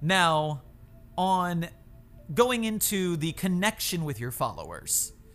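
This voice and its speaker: A man's high voice with an American accent, very slow with long, frequent pauses and ordinary pitch variation, over music in the background. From Florida. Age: 30s. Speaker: YouTuber and TikToker. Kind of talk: casual chat.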